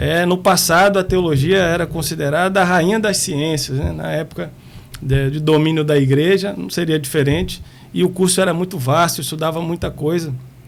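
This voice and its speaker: A fairly high-pitched man with fairly even intonation, amid noticeable background noise. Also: moderate pace. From Espírito Santo, Brazil (born in Bahia, moved at 8). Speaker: prison police director. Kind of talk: podcast interview.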